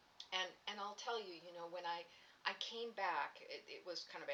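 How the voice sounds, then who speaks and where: A woman speaks at a moderate pace in a fairly low voice. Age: 60s. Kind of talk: personal recovery story told to camera. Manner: hesitant, halting.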